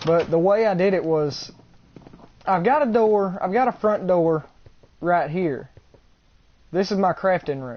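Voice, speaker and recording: Speaking with an Alabama accent, a man uses a high pitch for a man. He leaves long, frequent pauses. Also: lively intonation, fairly slow pace. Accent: Southern US (Alabama). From US South, Alabama. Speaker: gamer streamer. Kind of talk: live gameplay stream commentary. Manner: casual, rambling and self-correcting.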